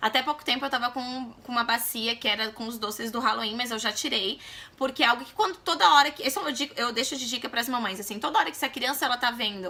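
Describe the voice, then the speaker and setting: A woman talks at a very fast pace and a high pitch. Noticeable background noise runs beneath her. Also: ordinary pitch variation, hardly any pauses, big swings in loudness. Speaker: mom vlogger. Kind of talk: casual vlog talk to camera.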